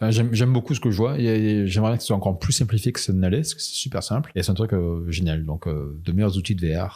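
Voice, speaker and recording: A man with a fairly low pitch and a dark, mellow tone talks at a very fast pace with lively intonation and hardly any pauses. The recording is very clean, with a silent background. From France. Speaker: illustrator and animator. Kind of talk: interview. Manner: halting, many hesitations.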